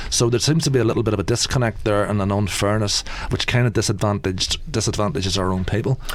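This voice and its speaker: Over noticeable background noise, a man with an Irish accent speaks very fast with a fairly low pitch, ordinary pitch variation, and very even loudness. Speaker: election candidate. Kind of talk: radio debate. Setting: radio studio. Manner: halting, many repetitions and fillers.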